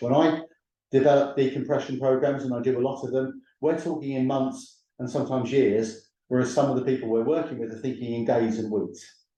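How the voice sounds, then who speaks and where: In a British accent, a man talks at a fairly quick pace with a medium pitch and ordinary pitch variation. His tone is dark and mellow, and audible room echo surrounds it. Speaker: professor and training organisation CEO. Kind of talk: webinar lecture. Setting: online webinar with screen share. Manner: loud.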